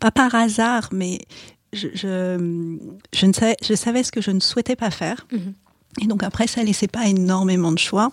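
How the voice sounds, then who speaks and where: A plain, everyday voice from a woman, medium in pitch, fairly slow and fairly even in intonation, on a very clean recording with a silent background. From Paris suburbs, France. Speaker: corporate lawyer. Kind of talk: interview.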